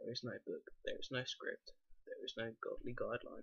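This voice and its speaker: Soft-spoken, a man talks at a moderate pace. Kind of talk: book reading.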